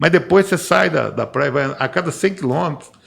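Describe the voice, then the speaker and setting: Lively intonation runs through a man's voice, which carries vocal fry. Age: 60s. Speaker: civil engineer. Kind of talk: podcast panel discussion. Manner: halting, with repetitions.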